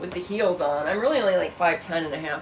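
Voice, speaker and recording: A woman with an American accent at medium pitch, with audible room echo. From Illinois. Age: 30s. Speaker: livestreamer. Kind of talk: casual livestream chat. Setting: bedroom livestream. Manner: animated.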